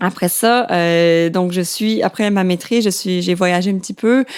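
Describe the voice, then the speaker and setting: Fairly slow pace and ordinary pitch variation in a woman's medium-pitched voice. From Quebec, Laurentides. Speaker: biologist. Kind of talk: interview. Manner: halting, many fillers.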